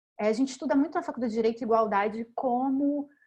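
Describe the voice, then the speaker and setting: A woman's voice in a strong Rio de Janeiro accent, with ordinary pitch variation. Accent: strong Rio de Janeiro (carioca). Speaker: law professor. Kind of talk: academic panel talk. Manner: halting, with many fillers.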